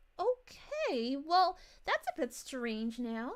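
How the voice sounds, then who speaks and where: Using a put-on character voice, a woman speaks in a high pitch at a very slow pace. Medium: virtual streamer.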